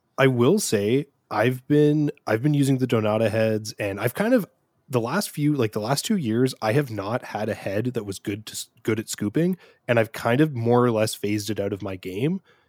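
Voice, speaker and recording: Here a man with a plain, everyday voice speaks at a moderate pace with a medium pitch and ordinary pitch variation, in a dry, close sound with no echo. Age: 30s. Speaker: podcast co-host. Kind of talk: casual chat. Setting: remote call.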